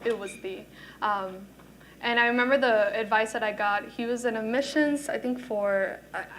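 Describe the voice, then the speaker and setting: A woman with a Spanish accent, fairly high in pitch, fairly even in intonation, at a moderate pace, with audible room echo. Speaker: student panelist. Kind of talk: panel discussion.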